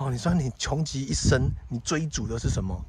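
In a Taiwanese accent, a man speaks at a moderate pace, the sound dry with no echo but with noticeable background noise. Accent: Taiwanese Mandarin. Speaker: pet vlogger. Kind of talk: casual vlog monologue. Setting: outdoors. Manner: halting, many filler particles. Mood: relaxed, reflective. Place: open country. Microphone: phone near.

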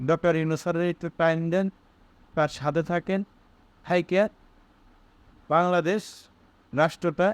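In a very clean recording with a silent background and a dry, close sound with no echo, a man speaks in a high pitch with monotone, flat intonation. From Bangladesh, Bogura. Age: young. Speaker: political commentator. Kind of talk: political monologue.

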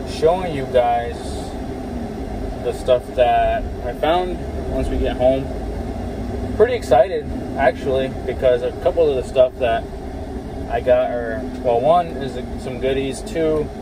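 Over noticeable background noise, a man talks at a fairly slow pace with long, frequent pauses, the sound dry and free of echo. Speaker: car parts vlogger. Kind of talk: casual vlog chat. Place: car. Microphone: phone near.

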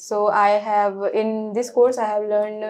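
A woman speaks at a moderate pace in a monotone, flat intonation. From India, Lucknow, Uttar Pradesh; Uttar Pradesh, India. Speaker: cybersecurity student; interview candidate. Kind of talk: mock job interview. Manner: halting. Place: office.

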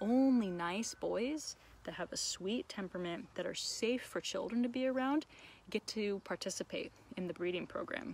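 Speaking at a moderate pace with lively intonation, a woman is heard in a dry sound with no echo. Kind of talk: casual educational vlog chat. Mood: warm and enthusiastic. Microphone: phone near.

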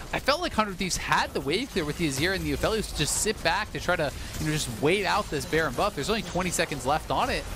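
Over noticeable background noise, a high-pitched man speaks at a very fast pace with lively intonation. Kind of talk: esports commentary with analysis. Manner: calm, explanatory analyst.

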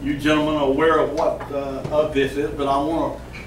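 Light background noise and audible room echo around a man speaking at a moderate pace. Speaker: speaker. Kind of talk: speech to a group. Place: cafe. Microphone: camera far.

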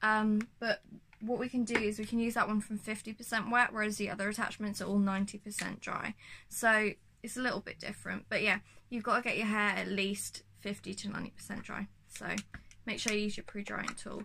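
A woman speaks at a moderate pace in a bright, sharp tone with monotone, flat intonation. Noticeable background noise runs underneath. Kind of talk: tutorial. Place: home room.

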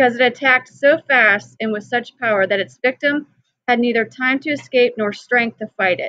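Against a quiet background, a woman with a high voice speaks at a moderate pace with ordinary pitch variation, the sound dry with no echo. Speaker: teacher. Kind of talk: read-aloud lesson with explanation.

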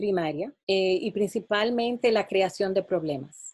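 In a dry recording with no echo and a quiet background, a woman with a dark, mellow tone speaks at a fairly slow pace. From Dominican Republic. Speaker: mathematics education professor. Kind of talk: interview answers. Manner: halting, many fillers. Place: home room. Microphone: webcam.

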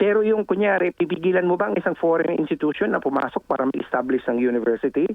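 Despite noticeable background noise, a man speaks very fast with hardly any pauses, his high pitch carrying lively intonation at a very even loudness. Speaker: political analyst and professor. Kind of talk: interview. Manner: halting.

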